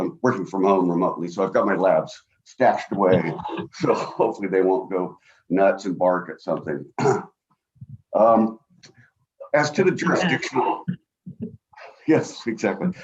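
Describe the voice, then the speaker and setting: A booming man's voice comes with long, frequent pauses. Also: moderate pace. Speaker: attorney. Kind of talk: oral argument. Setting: video call from home. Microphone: too quiet at first, adjusted mic.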